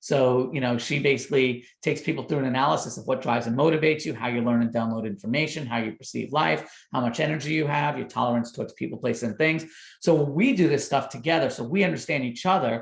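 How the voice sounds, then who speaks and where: Somewhat breathy speech at a very fast pace, with hardly any pauses and ordinary pitch variation. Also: man, medium pitch for a man. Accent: New York. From New York. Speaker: doctor and parenting author. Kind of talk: podcast interview.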